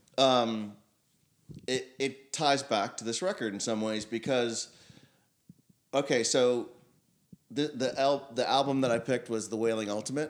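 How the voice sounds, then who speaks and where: Speaking fairly slowly with long, frequent pauses, a man with a medium-pitched voice keeps his intonation fairly even, and the recording is very clean with a silent background. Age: 50s. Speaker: musician and music scene figure. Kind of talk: casual chat.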